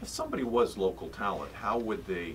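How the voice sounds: Talking at a fairly quick pace, a man with a fairly low pitch uses lively intonation.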